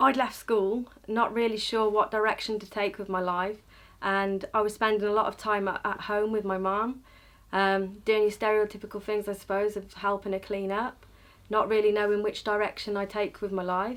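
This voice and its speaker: At a moderate pace, a woman of medium pitch speaks in a monotone, flat intonation on a very clean recording with a silent background. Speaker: education activist. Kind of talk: interview answer.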